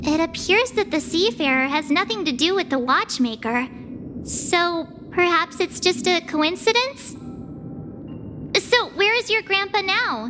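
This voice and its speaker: Clear background noise sits under a put-on character voice pitched extremely high. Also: moderate pace. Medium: video game. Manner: bright, expressive.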